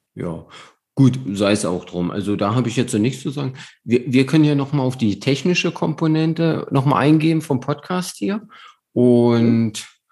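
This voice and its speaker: This man has a dark, mellow tone and lively intonation. He moves at a moderate pace. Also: medium pitch for a man. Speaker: amateur endurance athlete, podcast host. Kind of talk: casual chat. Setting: remote call.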